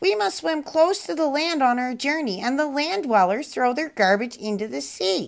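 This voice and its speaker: Someone speaks in a put-on character voice at a moderate pace. There are hardly any pauses. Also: woman, high pitch for a woman. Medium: read story.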